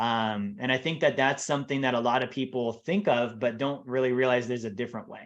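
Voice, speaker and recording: Against a quiet background, a man at medium pitch talks at a very fast pace with hardly any pauses and ordinary pitch variation. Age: 30s. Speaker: financial advisor. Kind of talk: podcast interview.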